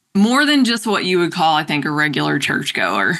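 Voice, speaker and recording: Over a quiet background, a woman with a North Carolina accent speaks in a fairly low pitch with a bright, sharp tone. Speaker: podcast guest. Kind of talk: casual interview conversation.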